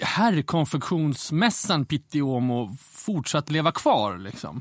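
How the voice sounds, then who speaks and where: Very slow delivery with very wide swings in pitch. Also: man. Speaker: fashion magazine editor. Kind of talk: casual interview chat.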